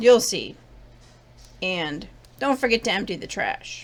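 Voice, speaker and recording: A put-on character voice from a woman, raspy and fairly high, with lively intonation at a fairly slow pace. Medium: read story. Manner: brusque, offhand.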